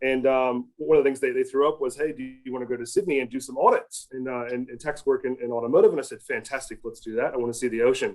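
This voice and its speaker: Very fast delivery in an American accent, with hardly any pauses and big swings in loudness. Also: man. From US Midwest, rural Ohio. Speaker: automotive industry consultant. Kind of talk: podcast interview. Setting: podcast. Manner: hesitant, many fillers.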